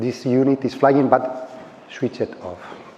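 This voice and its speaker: A man speaks fairly slowly with a Spanish accent. Background noise is noticeable. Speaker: space startup engineer. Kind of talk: conference talk. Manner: halting.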